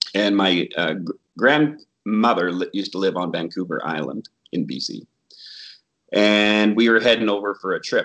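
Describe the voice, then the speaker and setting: There is vocal fry in this man's voice. He speaks at a moderate pace. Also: fairly low pitch for a man, ordinary pitch variation. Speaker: Bigfoot researcher and therapist educator. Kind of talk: casual interview chat.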